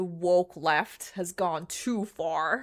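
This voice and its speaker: A put-on character voice, female-sounding and fairly low-pitched, in a very clean recording over a silent background. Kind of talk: ranting. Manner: exaggerated, mocking.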